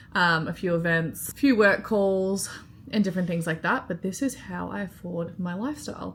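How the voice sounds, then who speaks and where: This woman speaks with an Australian accent at a moderate pace, with a medium pitch and ordinary pitch variation. The recording is very clean, with a silent background. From Australia, Melbourne. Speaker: vlogger and freelance marketer. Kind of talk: casual vlog talk to camera. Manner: casual, filler-heavy.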